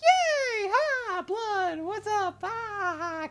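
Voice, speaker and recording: Someone shouts at an extremely high pitch in a put-on character voice over loud background noise. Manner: goofy, screamy.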